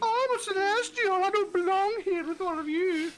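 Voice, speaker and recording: An extremely high-pitched, put-on character voice moves at a moderate pace. Background noise is clearly audible. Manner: uppity, aloof.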